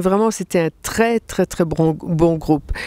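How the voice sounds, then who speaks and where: At a very slow pace, a woman speaks in a medium pitch with fairly even intonation and a dry, close sound with no echo. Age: 60s. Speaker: fasting retreat participant. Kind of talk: interview testimony. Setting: mountain retreat at 1800 m altitude.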